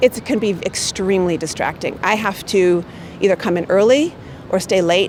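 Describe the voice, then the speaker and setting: Noticeable background noise sits behind this woman's voice. She speaks at a medium pitch with an American accent. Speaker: marketing manager. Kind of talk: interview answers. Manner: loud.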